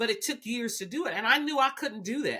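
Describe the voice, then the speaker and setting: In a Southern US accent, a woman's bright, sharp voice shows ordinary pitch variation on a very clean recording with a silent background. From US South, Alabama. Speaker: biotech executive. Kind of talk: podcast interview.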